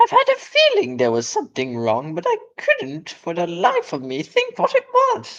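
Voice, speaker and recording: The speaker uses a put-on character voice at a moderate pace. There are hardly any pauses. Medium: read story. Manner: spiteful.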